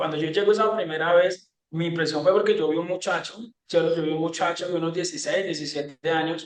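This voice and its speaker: A man at a very fast pace, high in pitch, with fairly even intonation. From Colombia, rural Tolima. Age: 30s. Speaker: former guerrilla, sales closer. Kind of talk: interview testimony. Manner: halting, many repetitions.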